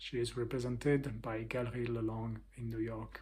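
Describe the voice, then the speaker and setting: A man speaks with a French accent at a moderate pace. His voice is somewhat breathy. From France. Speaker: artist and interviewer.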